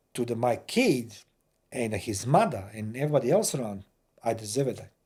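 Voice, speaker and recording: A somewhat breathy male voice with a Croatian accent. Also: very clean recording, silent background. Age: 50s. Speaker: war veteran. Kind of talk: casual chat. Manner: halting.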